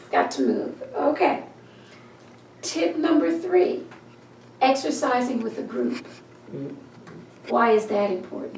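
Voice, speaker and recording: A woman with a fairly high pitch speaks at a fairly slow pace, her pitch swinging very widely. Long, frequent pauses break her speech over noticeable background noise. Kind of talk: interview host.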